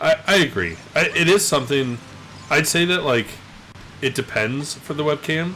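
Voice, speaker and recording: Over music in the background, a man mumbles with lively intonation. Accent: Canadian. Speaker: video game streamer. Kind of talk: casual gameplay commentary. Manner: mumbling.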